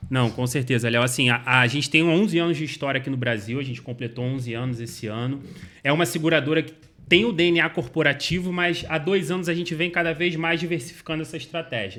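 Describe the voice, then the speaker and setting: Very fast and bright, a man speaks with a sharp tone in a Rio de Janeiro accent. His pitch is fairly high, with ordinary pitch variation. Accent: carioca. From Rio de Janeiro, Brazil. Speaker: insurance company sales executive. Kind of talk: interview answers.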